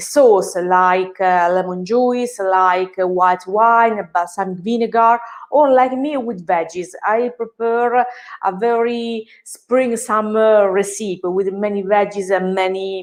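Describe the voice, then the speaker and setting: A woman's fairly high voice in an Italian accent, very slow in pace, with fairly even intonation. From Italy. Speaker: personal chef. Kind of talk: live cooking class. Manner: halting, many hesitations.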